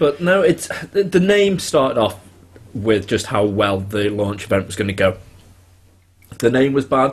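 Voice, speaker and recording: Very wide pitch swings at a moderate pace, somewhat breathy, with long, frequent pauses. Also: man, medium pitch for a man. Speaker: podcast host. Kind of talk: casual chat.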